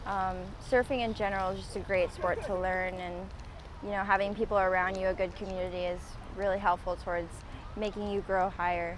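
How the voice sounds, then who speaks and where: A woman talks at a fairly quick pace, her medium-pitched voice monotone and flat. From Hawaii, Waikiki. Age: 20s. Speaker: surfer. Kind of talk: casual interview.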